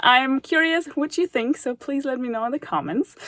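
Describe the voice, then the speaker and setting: A woman is speaking. She has a German accent. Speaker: math tutor YouTuber. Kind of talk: casual vlog talk to viewers. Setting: studio.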